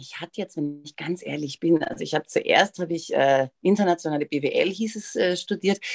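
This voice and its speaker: A woman with a medium-pitched, ordinary speaking voice talks at a moderate pace with ordinary pitch variation and big swings in loudness, recorded with a dry, close sound and no echo. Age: 40s. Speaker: influencer and TV presenter. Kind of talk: interview.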